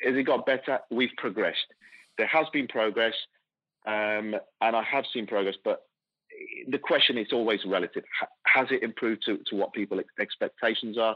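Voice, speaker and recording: A man speaks at a moderate pace with an English Midlands accent. He leaves long, frequent pauses. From England, Coventry. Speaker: football club executive. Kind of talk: interview. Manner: halting.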